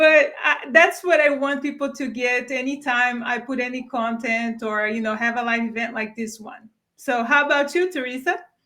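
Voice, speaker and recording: A woman with a non-native accent speaks at a high pitch with ordinary pitch variation. She keeps a moderate pace with hardly any pauses. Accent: foreign. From Brazil. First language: Portuguese. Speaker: career strategist. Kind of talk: live webinar chat. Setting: video livestream.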